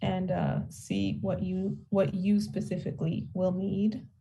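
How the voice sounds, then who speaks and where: A woman at a moderate pace amid audible room echo. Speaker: tax credit outreach presenter. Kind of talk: town hall presentation. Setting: town hall.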